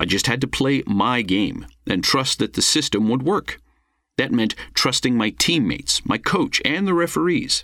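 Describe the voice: Quiet surroundings and plain reading aloud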